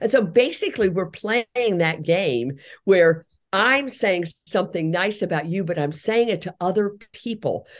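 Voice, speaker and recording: A woman talks at a moderate pace in a normal speaking voice with lively intonation. The background is quiet. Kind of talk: interview.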